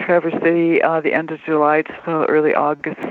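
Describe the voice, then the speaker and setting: An unremarkable speaking voice with an American accent moves at a moderate pace. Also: woman. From Detroit, Michigan. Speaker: music journalist. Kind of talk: interview.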